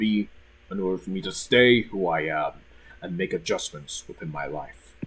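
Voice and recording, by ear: With a slightly husky edge, a man speaks at a low pitch and a moderate pace.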